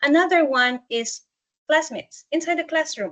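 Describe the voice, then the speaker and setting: A woman with a non-native accent, recorded dry and close with no echo. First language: not English. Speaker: student support staff. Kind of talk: webinar presentation. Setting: online webinar.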